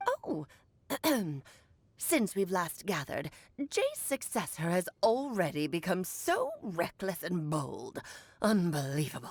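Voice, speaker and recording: A woman puts on a character voice at a medium pitch. She speaks at a fairly slow pace, with long, frequent pauses. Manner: scolding, disdainful.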